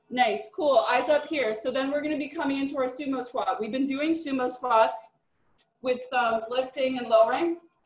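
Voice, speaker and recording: A woman's high-pitched, upbeat voice with audible room echo. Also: moderate pace. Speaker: fitness instructor. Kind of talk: live group fitness class, cueing exercises. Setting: live class, video stream, gym. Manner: upbeat, encouraging. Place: home room. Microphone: webcam.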